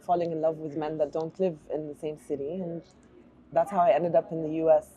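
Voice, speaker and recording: With an Arabic accent, a woman talks at a fairly quick pace in a very deep, low pitch. Her intonation is monotone and flat, while her loudness swings widely. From Jordan, Amman (Palestinian family, early childhood in Oman). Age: 40s. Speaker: artist. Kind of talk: interview. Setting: bookstore cafe.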